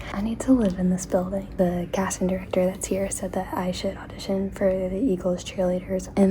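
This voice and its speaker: Amid noticeable background noise and audible room echo, a woman with an American accent talks very fast at a medium pitch. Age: 20s. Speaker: actress and vlogger. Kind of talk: casual vlog chat. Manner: whispering; animated.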